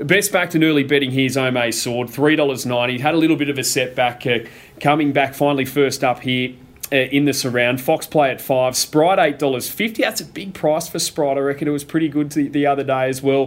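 With an Australian accent, a man speaks at a fairly quick pace and fairly high pitch. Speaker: racing broadcaster and podcast host. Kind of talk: casual chat. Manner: conversational, upbeat.

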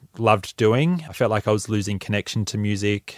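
In an Australian accent, a man speaks at a moderate pace with fairly low pitch and fairly even intonation. The recording is very clean, dry and close, with no echo and a silent background. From Australia, Mornington Peninsula, Victoria. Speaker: musician and producer. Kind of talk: interview.

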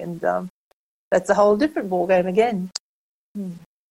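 In an Australian accent, a woman speaks at a medium pitch and a moderate pace. Her tone is dark and mellow, and her intonation is fairly even. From Australia, rural Queensland (Kingaroy). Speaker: book coach and self-publishing consultant. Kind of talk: interview conversation.

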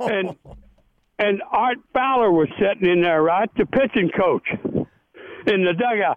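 With an American accent, a man speaks fairly slowly in a high voice at very even loudness, pausing long and often. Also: ordinary pitch variation. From Tennessee. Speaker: retired baseball pitcher. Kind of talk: interview storytelling. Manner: animated.

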